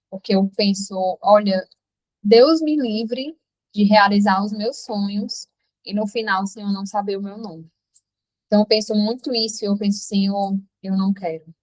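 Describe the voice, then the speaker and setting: The speaker is somewhat breathy, with ordinary pitch variation. The pace is moderate, broken by long, frequent pauses. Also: woman, medium pitch for a woman. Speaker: app founder and devotional leader. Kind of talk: testimony and devotional talk in a live stream. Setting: live online meeting with chat.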